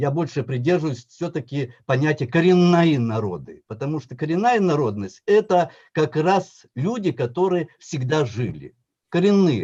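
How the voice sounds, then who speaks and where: A man talks at a fairly slow pace in a fairly high pitch, somewhat breathy, with a dark, mellow tone. His intonation is lively against a quiet background. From Yakutia, Russia. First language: Tatar (speaking Russian). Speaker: professor, historian. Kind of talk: conference talk.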